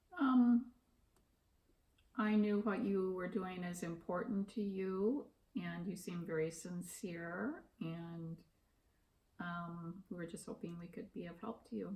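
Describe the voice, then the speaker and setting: A woman speaks very slowly with a medium pitch and a dark, mellow, somewhat breathy tone. Her loudness swings widely, her pitch varies in an ordinary way, and her pauses are long and frequent. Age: 60s. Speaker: interviewee, retiree. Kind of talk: interview. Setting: at home.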